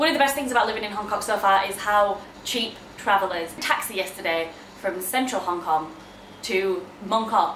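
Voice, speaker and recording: With a Yorkshire accent, a woman talks at a moderate pace and medium pitch, using ordinary pitch variation against noticeable background noise. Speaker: kindergarten teacher. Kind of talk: casual vlog talk to camera.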